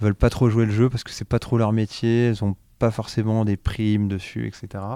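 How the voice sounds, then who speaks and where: A man speaks at a moderate pace with a dark, mellow tone and fairly low pitch, the sound dry and close with no echo in a very clean recording with a silent background. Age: 40s. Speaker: startup co-founder in second-hand clothing. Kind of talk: interview. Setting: trade show.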